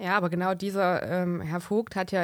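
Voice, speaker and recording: In a very clean recording with a silent background, a woman talks at a fairly slow pace and medium pitch. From Thuringia, Germany. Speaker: podcast co-host. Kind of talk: political podcast chat. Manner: formal.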